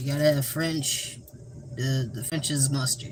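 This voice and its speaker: There is noticeable background noise as a man talks at a medium pitch with fairly even intonation. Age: 20s. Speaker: livestreamer. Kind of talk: casual livestream chat while cooking. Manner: monotone.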